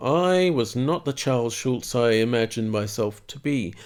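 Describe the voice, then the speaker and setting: In a very clean recording with a silent background, a man with an Australian accent speaks with very wide pitch swings. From east coast of Australia. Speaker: cartoonist. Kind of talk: casual monologue.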